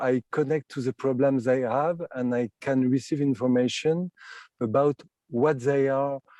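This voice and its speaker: A man's medium-pitched voice with a French accent, dark and mellow in tone, dry and close with no echo. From France. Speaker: clairvoyant. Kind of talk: interview. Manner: halting, many fillers.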